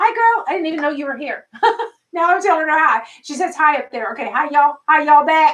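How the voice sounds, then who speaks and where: A woman's extremely high voice with very wide pitch swings. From US South, Arkansas. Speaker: doll channel live stream host. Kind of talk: live stream chat. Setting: live stream.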